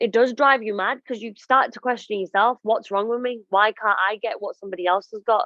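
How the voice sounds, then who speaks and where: In an ordinary speaking voice, a woman talks at a moderate pace with fairly even intonation. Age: 30s. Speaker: radio and TV presenter. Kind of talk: podcast interview, personal story. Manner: emotional, reflective.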